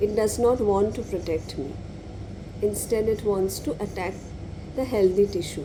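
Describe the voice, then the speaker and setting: A soft-spoken woman at a medium pitch and moderate pace, with ordinary pitch variation, long, frequent pauses and audible room echo. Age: 30s. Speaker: law lecturer and lupus patient vlogger. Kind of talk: personal vlog monologue. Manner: halting.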